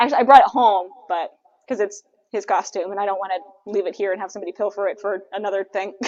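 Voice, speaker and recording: A woman's medium-pitched voice at a very fast pace. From California. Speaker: livestream co-host for a mask company. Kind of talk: casual live stream chat. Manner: animated.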